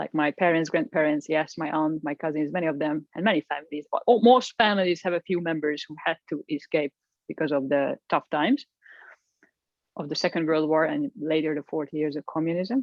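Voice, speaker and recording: A woman with a Hungarian accent, a very deep, low pitch and a fairly quick pace. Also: ordinary pitch variation. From Hungary, Budapest. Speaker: executive coach. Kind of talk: interview. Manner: halting.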